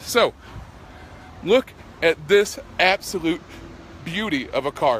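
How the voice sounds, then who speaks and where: Raised and projected, a man's high-pitched voice comes at a fairly slow pace, dry with no echo, over light background noise. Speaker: car salesman. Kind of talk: dealership sales pitch, live Facebook video walkaround. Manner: animated, chatty, pushy upbeat pitchman; self-deprecating, jokey, rambling. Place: street. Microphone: phone near.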